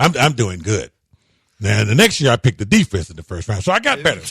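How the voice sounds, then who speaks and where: Vocal fry and very wide pitch swings mark this man's voice, in a dry, close sound with no echo. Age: 60s. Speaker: sports radio host. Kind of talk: casual sports talk radio.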